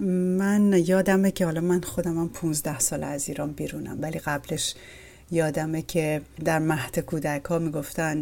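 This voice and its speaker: In a very clean recording with a silent background, a woman with a very deep, low pitch and a dark, mellow tone speaks at a moderate pace with fairly even intonation. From Iran. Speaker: podcast host. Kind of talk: interview.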